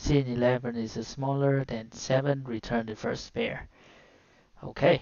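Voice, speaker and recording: A woman with a Vietnamese accent speaks at a very deep, low pitch with fairly even intonation. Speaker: coding tutorial streamer. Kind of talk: live coding walkthrough. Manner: halting.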